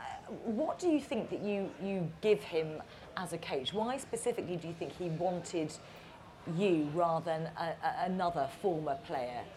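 Against noticeable background noise, a woman with a fairly low pitch talks at a moderate pace with lively intonation. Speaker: moderator, broadcast presenter. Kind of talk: moderated interview on stage. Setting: stage with audience.

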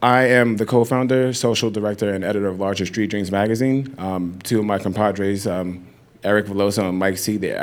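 Fairly low-pitched, a man talks at a fairly quick pace in a normal speaking voice with fairly even intonation. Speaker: magazine editor, moderator. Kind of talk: onstage interview. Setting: stage with audience. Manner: casual.

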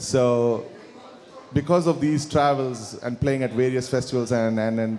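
A man with a Kannada accent, medium pitch, fairly quick pace and fairly even intonation, with noticeable background noise. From India, Karnataka (Bangalore). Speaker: musician. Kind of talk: interview with live audience. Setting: stage with audience.

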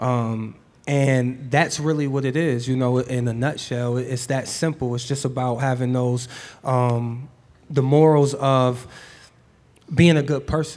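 With audible room echo around him, a man with an American accent speaks at a fairly slow pace in a medium pitch and a monotone, flat intonation. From Cleveland, Ohio. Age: young. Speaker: rapper. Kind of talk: live on-stage interview. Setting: store stage with audience.

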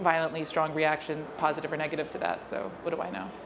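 A woman with a New York accent and a very deep, low pitch, amid noticeable background noise and audible room echo. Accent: New York American. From New York, US. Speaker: filmmaker. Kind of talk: interview at a public Q&A.

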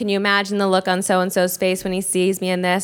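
A woman speaks at a very fast pace and medium pitch. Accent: American. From New York. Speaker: startup co-founder. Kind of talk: panel talk.

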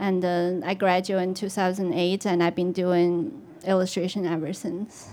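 With a Chinese accent, a woman speaks in a dark, mellow tone and fairly even intonation. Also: medium pitch for a woman, moderate pace. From China. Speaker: illustrator. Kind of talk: panel talk on stage.

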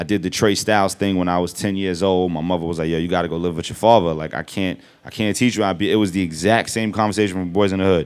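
A man with a New York accent and a very deep, low pitch, fairly even intonation, a very fast pace and hardly any pauses. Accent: New York hip hop. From Brooklyn, New York. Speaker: rapper. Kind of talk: live interview on stage. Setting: store stage with audience.

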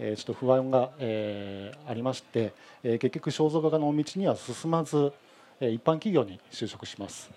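This man talks at a fairly slow pace with lively intonation and big swings in loudness. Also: medium pitch for a man. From Hamamatsu, Shizuoka, Japan. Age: 40s. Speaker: painter. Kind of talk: live demonstration talk. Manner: halting, many fillers.

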